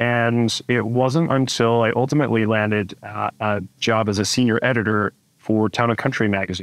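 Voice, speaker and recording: A man talks in a normal speaking voice at a medium pitch and moderate pace, with fairly even intonation, very even loudness, hardly any pauses, and a dry sound with no echo. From US Northeast. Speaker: etiquette expert and speaker; speaker. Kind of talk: interview, casual chat. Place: home room. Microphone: webcam.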